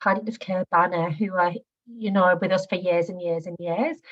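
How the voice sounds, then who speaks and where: A somewhat breathy woman at a medium pitch with monotone, flat intonation, in a dry, close sound with no echo. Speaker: nurse practitioner. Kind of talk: presentation. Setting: video call. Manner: fast. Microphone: audio cutting out.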